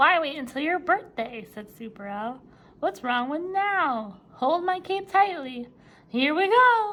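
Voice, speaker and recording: A woman's put-on character voice, high in pitch, with very wide pitch swings at a fairly slow pace. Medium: read story.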